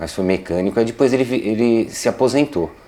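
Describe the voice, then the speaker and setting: Against noticeable background noise, a man speaks at a moderate pace. His intonation is lively. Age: 50s. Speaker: interviewee, son of a plant grower. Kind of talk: interview. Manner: halting.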